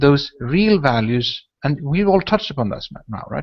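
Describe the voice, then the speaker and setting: Speaking at a moderate pace, a man with a Swedish accent uses lively intonation. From northern Sweden. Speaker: podcast host. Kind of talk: casual chat. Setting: video call. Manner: talkative.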